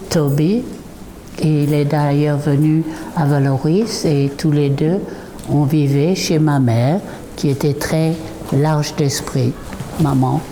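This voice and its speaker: Very slow and very deep, a woman's low voice shows ordinary pitch variation. Audible room echo and noticeable background noise come through. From southern France and England. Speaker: artist and former painter's model. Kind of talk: reminiscing testimony. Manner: halting, with many hesitations.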